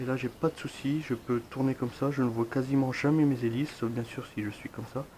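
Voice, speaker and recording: At a moderate pace, a man speaks in a medium pitch. His intonation stays monotone and flat. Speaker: drone hobbyist. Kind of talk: product review talk to camera. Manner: casual, many fillers.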